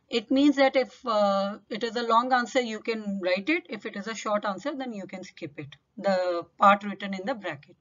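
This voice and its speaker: A fairly high-pitched woman's voice, an unremarkable speaking voice, with lively intonation and a moderate pace. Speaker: English teacher. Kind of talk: tutorial.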